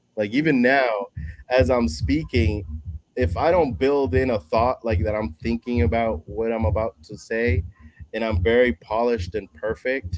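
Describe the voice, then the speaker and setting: Lively intonation in a man's voice of medium pitch. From Dominican Republic, raised from childhood in New York. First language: Spanish. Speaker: public speaker, former paralegal. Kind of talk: casual chat.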